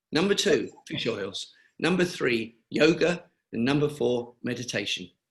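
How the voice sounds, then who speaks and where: Somewhat breathy and fairly slow, a man speaks in a fairly high voice with very wide pitch swings. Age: 70s. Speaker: cancer charity founder. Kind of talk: webinar interview.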